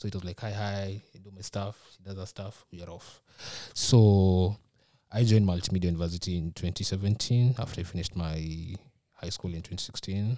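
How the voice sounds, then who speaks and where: A man's very deep, low voice with a dark, mellow tone, fairly even intonation and a fairly quick pace, big swings in loudness, on a very clean recording with a silent background. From Kenya (Nairobi). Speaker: international student. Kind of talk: casual chat.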